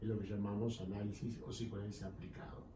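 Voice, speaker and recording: A man with a fairly low voice is heard with audible room echo and noticeable background noise. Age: 60s. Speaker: psychoanalyst. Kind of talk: interview. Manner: formal.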